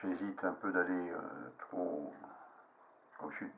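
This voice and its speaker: A man speaks with a very deep, low pitch. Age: 70s. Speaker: fly-tying hobbyist. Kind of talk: casual tutorial monologue. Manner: halting, many fillers.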